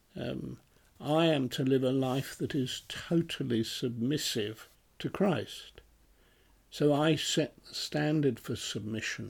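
A man with a British accent speaks at a medium pitch and a very slow pace, his loudness swinging widely in a very clean recording with a silent background. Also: ordinary pitch variation. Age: 80s+. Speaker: retired minister. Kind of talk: Bible study discussion.

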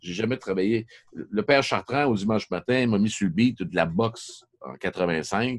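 Delivered at a fairly slow pace, this is a plain, everyday voice with ordinary pitch variation. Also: man, fairly low pitch for a man. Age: 50s. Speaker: sports journalist. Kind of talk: podcast interview.

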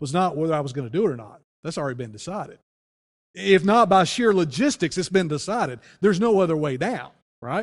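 A man with a normal speaking voice talks at a fairly high pitch and a fairly quick pace. His intonation is lively, and the background is quiet. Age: 40s. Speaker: pastor. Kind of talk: sermon.

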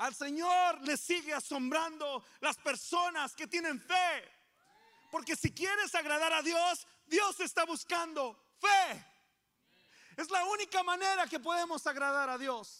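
Very slowly, a man speaks in an extremely high, raised and projected voice, bright and sharp in tone with ordinary pitch variation. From Coahuila, Mexico. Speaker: pastor. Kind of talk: sermon.

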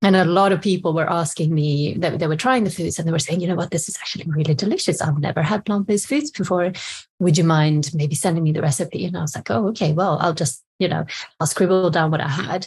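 With a Swedish accent, a woman speaks very fast at a fairly low pitch with ordinary pitch variation. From Sweden. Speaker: cookbook author. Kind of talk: casual interview.

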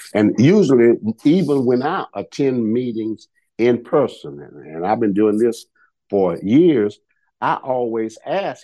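With a Southern US accent, a man talks at a fairly slow pace in a dark, mellow tone. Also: quiet background. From rural Georgia.

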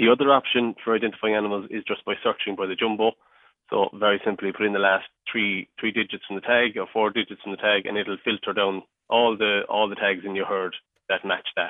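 A man with a Cork accent, fairly low in pitch, at a fairly quick pace and in a monotone, flat intonation. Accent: Cork Irish. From mid Cork, Ireland. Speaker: agritech company worker. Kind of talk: radio interview.

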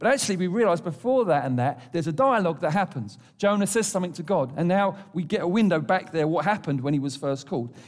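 Talking at a very fast pace, a man with an English accent uses a high pitch and lively intonation. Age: 50s. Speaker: pastor. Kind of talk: sermon.

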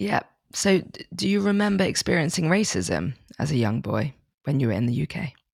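A woman's very deep, low voice with vocal fry, very wide pitch swings and a fairly quick pace. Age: 30s. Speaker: podcast host. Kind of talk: interview.

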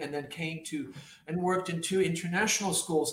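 Over noticeable background noise, a man with a high pitch speaks with ordinary pitch variation. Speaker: podcast host. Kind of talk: casual interview.

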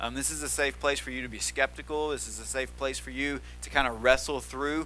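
The speaker has a Tennessee accent and goes at a fairly quick pace with hardly any pauses. Room echo is audible. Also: man. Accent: Southern US (Tennessee). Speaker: pastor. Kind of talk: sermon. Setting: church.

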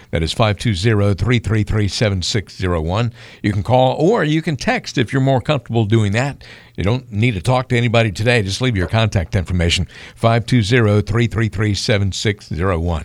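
A man with an unremarkable speaking voice talks fairly quickly at a fairly low pitch with ordinary pitch variation. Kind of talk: radio announcer call-to-action: repeating the phone number, urging listeners to act now.

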